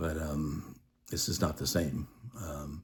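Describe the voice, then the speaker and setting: A somewhat breathy man at a fairly slow pace. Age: 60s. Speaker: widower sharing grief experience. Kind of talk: personal testimony monologue. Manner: halting, many fillers.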